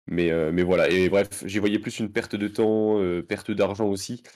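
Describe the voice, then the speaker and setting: The man keeps a moderate speed. His intonation is fairly even. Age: 20s. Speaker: nurse and fantasy football card game player. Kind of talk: casual interview.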